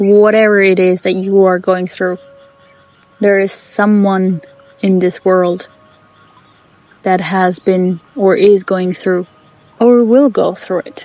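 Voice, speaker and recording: A woman with a non-native accent speaks at a very slow pace, leaving long, frequent pauses. Her medium-pitched voice is monotone and flat, with music in the background. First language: not English. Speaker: podcast host. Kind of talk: personal monologue. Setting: outdoors in the bush.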